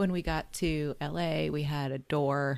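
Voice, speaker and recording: A woman speaks in a very deep, low pitch with a General American accent. The recording is very clean, with a silent background. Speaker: podcast co-host. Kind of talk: casual chat.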